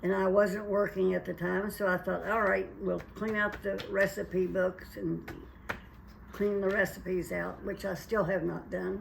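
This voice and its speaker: The pace is fairly slow. Noticeable background noise sits behind the woman's voice. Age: 80s+. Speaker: retired mother, home cook. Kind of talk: casual interview.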